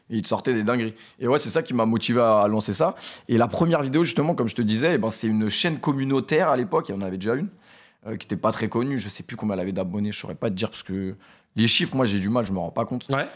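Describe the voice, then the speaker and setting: Over a quiet background, a man talks very fast with lively intonation. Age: 20s. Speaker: streamer and YouTuber; streamer, YouTuber. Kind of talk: casual chat interview; interview answer. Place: studio. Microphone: studio mic.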